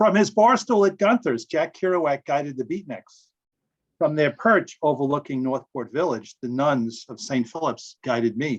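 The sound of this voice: Here a man with a fairly high pitch talks at a fairly slow pace, with ordinary pitch variation.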